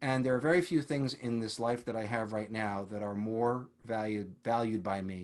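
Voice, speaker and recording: A man with a plain, everyday voice, fairly low pitch, ordinary pitch variation and a moderate pace. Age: 60s. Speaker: retired orchestral trombonist and teacher. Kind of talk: interview.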